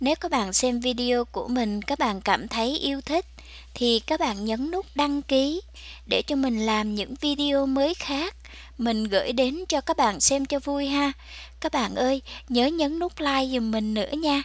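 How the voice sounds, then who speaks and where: With ordinary pitch variation and a high pitch, a woman talks fairly slowly in a dry recording with no echo. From Vietnam. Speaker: vlogger; home garden vlogger. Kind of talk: casual vlog narration; casual vlog chat. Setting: outdoors. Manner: animated. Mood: cheerful, delighted. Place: garden. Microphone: phone near.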